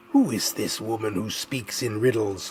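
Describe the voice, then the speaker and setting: Against clear background noise, a man does a growling put-on character voice at medium pitch, with a moderate pace and fairly even intonation. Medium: read story. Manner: regal, commanding.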